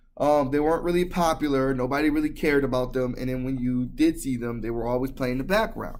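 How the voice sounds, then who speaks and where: Someone with an American accent speaks at a fairly quick pace, with ordinary pitch variation. Room echo is audible. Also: man. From US. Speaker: video blogger. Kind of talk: vlog monologue. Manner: hesitant, many fillers.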